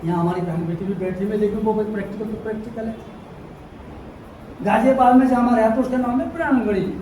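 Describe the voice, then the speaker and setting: This man's voice is high-pitched with ordinary pitch variation, heard with audible room echo and noticeable background noise. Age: 60s. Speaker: Ambedkarite social activist speaker. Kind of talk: public speech. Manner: animated.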